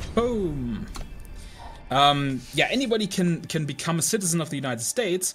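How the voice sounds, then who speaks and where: The speaker talks at a moderate pace with very wide pitch swings. Music plays in the background. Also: man, fairly high pitch for a man. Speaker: gaming streamer. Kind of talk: political rant while playing. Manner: stuttery.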